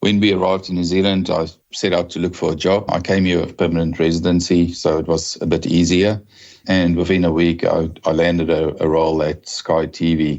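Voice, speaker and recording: A man talks in a very deep, low voice. His delivery is fairly quick, with a monotone, flat intonation. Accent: South African. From South Africa. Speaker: telecom executive. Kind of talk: podcast interview.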